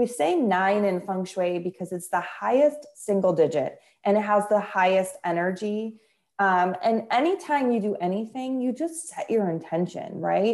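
With an American accent, a woman speaks in a plain, everyday voice at medium pitch, using lively intonation at a moderate pace. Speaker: feng shui expert and author. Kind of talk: casual interview.

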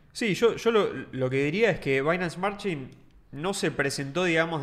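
A man speaks with a Rioplatense accent and lively intonation. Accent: Argentine Rioplatense Spanish. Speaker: podcast co-host. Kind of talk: casual chat.

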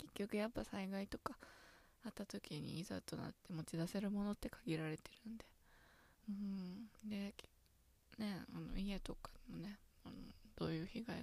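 Moderate pace broken by long, frequent pauses. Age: 20s. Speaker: podcaster, office worker. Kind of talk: solo casual monologue.

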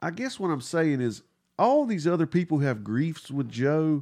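Lively intonation over a dark, mellow tone. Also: man. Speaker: podcast co-host. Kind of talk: casual chat.

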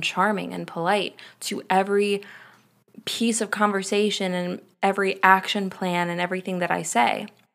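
On a very clean recording with a silent background, a woman speaks at a moderate pace in a flat monotone. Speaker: podcast host. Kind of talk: solo podcast rant, casual and unscripted. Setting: home, at night getting ready for bed, solo recording. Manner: casual, rambly and self-interrupting.

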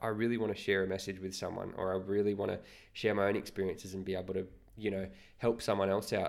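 On a very clean recording with a silent background, a man with an Australian accent and fairly low pitch talks at a very fast pace in a monotone, flat intonation. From Australia, Newcastle NSW. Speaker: podcast co-host. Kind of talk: casual chat. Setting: at home.

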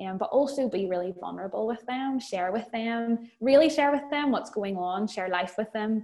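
With a Northern Irish accent, a woman talks at a moderate pace in a fairly high voice. She leaves hardly any pauses. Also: ordinary pitch variation. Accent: Northern Irish (Belfast). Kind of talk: casual chat. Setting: video call.

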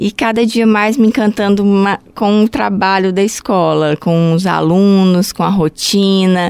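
At a fairly slow pace, a woman with a plain, everyday voice of medium pitch speaks with ordinary pitch variation. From Brazil, Goiânia (Goiás). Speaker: health unit supervisor at a ballet school. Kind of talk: interview.

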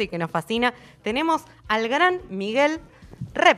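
A woman speaks in an ordinary speaking voice at a fairly slow pace. Her intonation is lively. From Argentina, Buenos Aires. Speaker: radio host. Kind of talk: casual chat.

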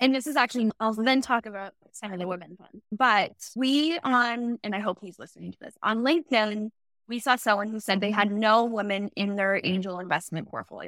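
Fairly quick and fairly high-pitched, a woman with a Canadian accent uses an ordinary speaking voice with ordinary pitch variation and big swings in loudness, recorded with a dry, close sound and no echo. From Ontario, Canada. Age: 30s. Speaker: startup founder. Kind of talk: interview.

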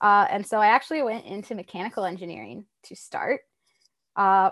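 Against a quiet background, a woman with an American accent speaks at a moderate pace and medium pitch in an unremarkable speaking voice. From US South, Tennessee. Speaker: robotics PhD student and rover engineer. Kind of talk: interview, casual chat.

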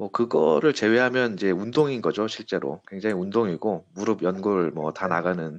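At a moderate pace with hardly any pauses, a man speaks in a plain, everyday voice, fairly low in pitch with ordinary pitch variation. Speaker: business consultant. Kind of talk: interview.

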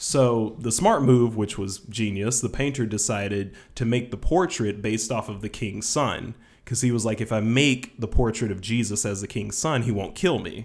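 A man speaks in a medium pitch with a Southern US accent and ordinary pitch variation. The recording is very clean, with a silent background. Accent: Southern US drawl. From Georgia, US South. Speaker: podcast co-host. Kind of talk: casual chat.

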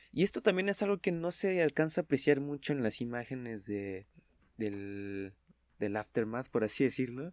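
On a very clean recording with a silent background and a dry, close sound with no echo, a man speaks at a moderate pace with very wide pitch swings. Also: medium pitch for a man. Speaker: podcast guest. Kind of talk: casual chat.

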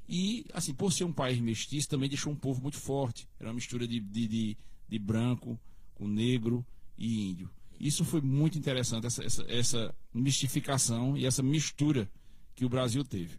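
A man talks at a moderate pace in a medium pitch, somewhat breathy, with ordinary pitch variation. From Brazilian Northeast, Cariri region of Paraíba. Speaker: local history expert. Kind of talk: casual interview.

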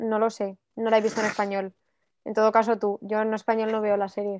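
Heard with a dry, close sound and no echo, a woman talks at a moderate pace and a fairly high pitch in a monotone, flat intonation. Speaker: podcast co-host. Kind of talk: casual chat.

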